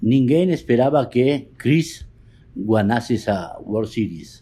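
On a very clean recording with a silent background, a man talks at a fairly slow pace in a dark, mellow tone. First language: Spanish (speaking Portuguese). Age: 60s. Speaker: poker photographer. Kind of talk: interview.

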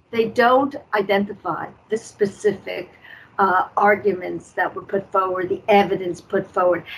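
A woman speaks in a normal speaking voice with a medium pitch. Her pace is moderate and her intonation fairly even. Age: 60s. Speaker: guest activist against judicial corruption. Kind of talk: interview on talk show.

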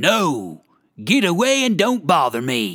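This put-on character voice growls along at a fairly slow pace. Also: man. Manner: growling, unpleasant.

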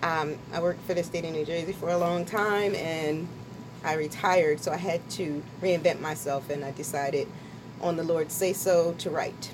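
A woman's plain, everyday voice, fairly low in pitch, with fairly even intonation at a moderate pace. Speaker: author. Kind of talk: casual radio interview. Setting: radio studio.

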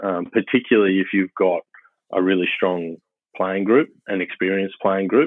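A man with a very deep, low pitch and an Australian accent. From Queensland, Australia (early childhood in Papua New Guinea). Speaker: rugby head coach. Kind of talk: casual interview. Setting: phone call.

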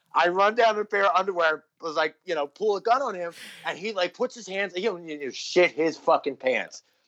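The speaker has an American accent and a fairly quick pace, with ordinary pitch variation and big swings in loudness. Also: man, high pitch for a man. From New Jersey (Philadelphia area). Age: 30s. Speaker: musician. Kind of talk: casual chat.

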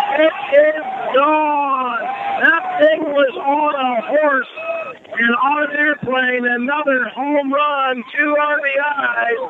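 With an excited, animated tone, a man speaks at an extremely high pitch and with ordinary pitch variation over noticeable background noise. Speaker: radio sports commentator. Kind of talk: live baseball commentary. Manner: excited, exclaiming, animated.

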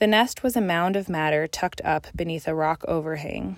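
A woman with an American accent and a fairly low pitch talks at a moderate pace in a plain, everyday voice, recorded very cleanly against a silent background. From Colorado. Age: 20s. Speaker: graduate student and nature writer. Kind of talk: reading aloud.

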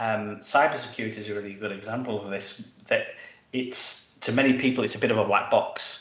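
In a British accent and a monotone, flat intonation, the speech moves at a fairly quick pace over noticeable background noise. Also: man. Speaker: tech executive. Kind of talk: panel discussion.

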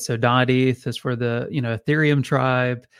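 With an American accent, a man speaks in a plain, everyday voice at a medium pitch and a moderate pace. The recording is very clean, with a silent background. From central Texas, US. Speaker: domain registry founder. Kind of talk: interview. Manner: frequent fillers.

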